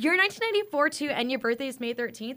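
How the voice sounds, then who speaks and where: A woman with an American accent speaks in a raised, projected voice at a high pitch. Noticeable background noise is present. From California, Fresno. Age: 20s. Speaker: nurse. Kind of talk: casual chat.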